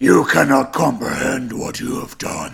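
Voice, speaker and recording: In a put-on, raspy character voice, a man talks at medium pitch and a moderate pace. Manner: menacing.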